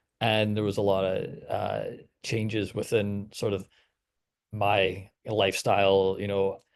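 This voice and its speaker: A man's fairly low voice with a Canadian accent. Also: quiet background. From Canada. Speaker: radio producer. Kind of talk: webinar panel discussion.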